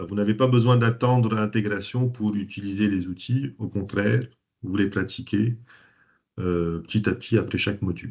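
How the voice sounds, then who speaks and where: A man is speaking at a moderate pace. His pitch shows ordinary variation. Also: fairly low pitch for a man. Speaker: systemic coach and trainer. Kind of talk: webinar presentation. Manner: hesitant, many fillers.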